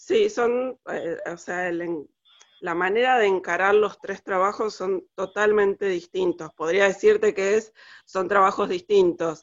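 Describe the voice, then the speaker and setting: At a fairly slow pace, a woman talks with a medium pitch and fairly even intonation. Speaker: costume designer. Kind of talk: interview. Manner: halting, many fillers.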